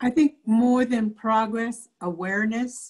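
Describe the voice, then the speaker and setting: Against a quiet background, a woman talks at a very slow pace with fairly even intonation. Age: 70s. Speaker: presenter. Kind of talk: lecture. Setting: video call. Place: home room. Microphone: video call.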